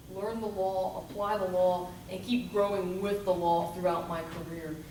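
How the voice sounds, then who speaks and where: A woman with an American accent at a moderate pace, her intonation fairly even, amid noticeable background noise and audible room echo. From Florida, Volusia County. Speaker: attorney interviewing for judgeship. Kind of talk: job interview.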